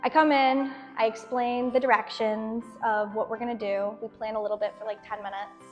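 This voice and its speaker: An enthusiastic woman talks at a fairly quick pace in a New England accent. Her pitch is fairly high, and music plays behind her. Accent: American English (New England). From Boston, Massachusetts. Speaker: student intern teacher. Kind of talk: interview answer. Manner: casual, enthusiastic.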